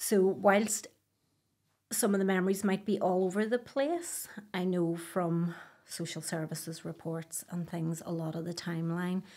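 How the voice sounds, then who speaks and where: Speaking with a Belfast accent, a woman keeps a medium pitch, fairly even intonation and a moderate pace. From Northern Ireland, Belfast. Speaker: abuse survivor. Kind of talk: testimony.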